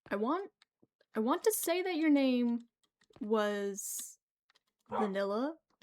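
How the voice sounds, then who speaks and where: A soft-spoken woman's voice, high-pitched, at a very slow pace, with long, frequent pauses and very wide pitch swings. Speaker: gaming streamer. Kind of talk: casual live gameplay commentary. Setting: livestream at home computer. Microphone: new mic, voice quiet, keyboard loud.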